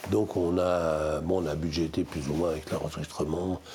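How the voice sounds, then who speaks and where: A man speaks in a very deep, low pitch at a moderate pace. Noticeable background noise runs underneath. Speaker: music industry executive. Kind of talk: casual chat. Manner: animated.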